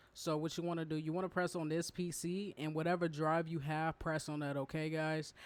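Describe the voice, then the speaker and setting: A man talks at a fairly quick pace in a monotone, with flat intonation. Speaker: gaming youtuber. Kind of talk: tutorial. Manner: casual, hesitant with repetitions.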